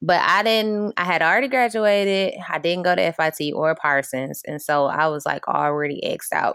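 In an American accent, a woman with a plain, everyday voice speaks at a moderate pace and a fairly low pitch, with lively intonation and hardly any pauses. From Flint, Michigan. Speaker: fashion designer. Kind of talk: interview.

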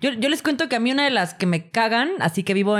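This is a woman speaking with a Mexican accent. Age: 30s. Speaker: podcast co-host. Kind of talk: casual chat. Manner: animated.

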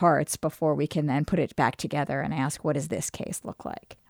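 Speaking at a fairly quick pace with fairly even intonation and vocal fry, the voice comes through in a very clean recording with a silent background and a dry, close sound with no echo. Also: woman. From New York, Brooklyn. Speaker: law school dean, podcast co-host. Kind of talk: casual conversation. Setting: studio.

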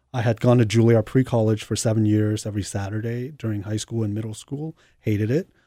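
On a very clean recording with a silent background and a dry, close sound with no echo, a man with an American accent talks at a very fast pace in a fairly low pitch, his tone dark and mellow and his intonation fairly even. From New York. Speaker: cellist. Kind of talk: interview.

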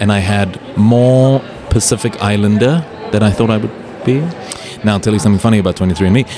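A man speaks at a fairly quick pace, his voice fairly low with ordinary pitch variation. His loudness stays very even over noticeable background noise. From South Africa and Europe. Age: 30s. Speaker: travel writer. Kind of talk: casual chat. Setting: live podcast recording at a trade show. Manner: animated.

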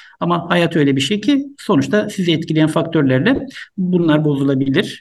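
The speaker is a man with a fairly high pitch. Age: 50s. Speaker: doctor. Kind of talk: interview. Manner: hesitant, many fillers.

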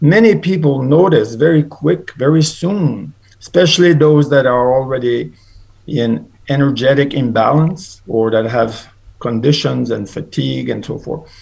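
A man's fairly high-pitched, somewhat breathy voice at a moderate pace. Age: 70s. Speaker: supplement seller. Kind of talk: interview. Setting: remote call.

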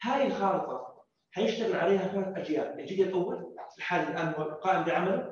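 Talking at a moderate pace, a man with a high pitch shows ordinary pitch variation. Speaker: youth committee member. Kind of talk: panel discussion.

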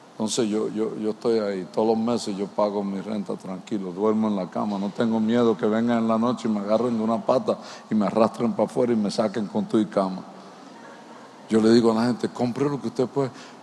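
Over noticeable background noise, a man talks at a medium pitch and a fairly quick pace. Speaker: pastor. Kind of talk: sermon. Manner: animated.

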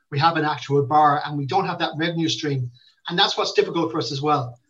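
A man speaks very fast with a Limerick accent. His pitch is fairly high, with ordinary pitch variation. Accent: Limerick Irish. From Ireland, Limerick. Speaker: football club manager. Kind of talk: interview. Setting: video call.

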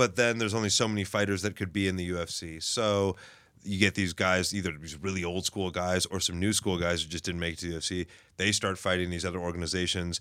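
With an American accent, a man talks at a very fast pace in a very deep, low voice, his tone bright and sharp and his intonation fairly even, on a very clean recording with a silent background. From Los Angeles. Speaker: jiu-jitsu practitioner. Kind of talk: casual chat.

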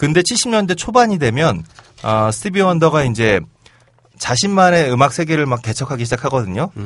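Somewhat breathy and fairly high in pitch, a man speaks at a moderate pace. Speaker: podcast co-host. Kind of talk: casual banter podcast.

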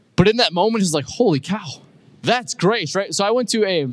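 The man talks at a very fast pace, his pitch swinging very widely. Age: 20s. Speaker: pastor. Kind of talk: sermon. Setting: church.

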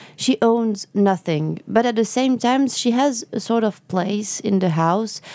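This woman speaks with a French accent at a moderate pace. Her tone is dark and mellow. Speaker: novelist. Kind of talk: interview. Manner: halting.

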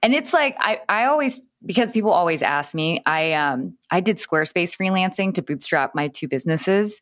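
With very wide pitch swings around a medium pitch, a woman talks at a moderate pace with hardly any pauses on a very clean recording with a silent background. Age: 30s. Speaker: Instagram expert and influencer. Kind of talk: casual interview chat.

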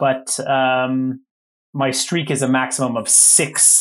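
A man with a plain, everyday voice speaks at a medium pitch on a very clean recording with a silent background. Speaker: hockey referee podcast host. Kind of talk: casual chat.

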